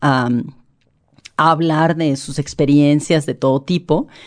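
A woman is speaking. Her pace is very slow. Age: 50s. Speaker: journalist and human rights activist. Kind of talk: interview.

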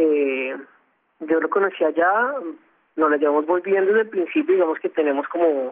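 This man's pitch sits fairly high, its variation ordinary, and he keeps a moderate pace. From Colombia. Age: young. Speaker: NGO volunteer and musician. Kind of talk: interview. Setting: phone call. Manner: halting.

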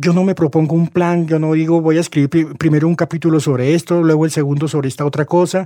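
A man's dark, mellow voice at a fairly high pitch, very fast and monotone, with very even loudness and a dry, close sound with no echo. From Colombia, Bogotá. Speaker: novelist. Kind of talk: interview.

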